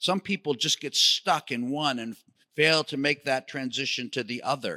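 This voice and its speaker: Heard in a dry, close sound with no echo, a man with an American accent speaks at a fairly high pitch in a bright, sharp tone. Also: very clean recording, silent background. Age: 60s. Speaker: ministry leader, speaker. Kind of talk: sermon-style teaching. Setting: synagogue, in front of congregation.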